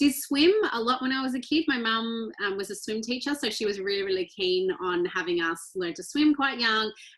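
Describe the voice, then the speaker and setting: An Australian accent from a woman with a bright, sharp tone, fairly high pitch, lively intonation and a moderate pace. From rural Australia (Victoria). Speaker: ultra-endurance athlete. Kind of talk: interview conversation.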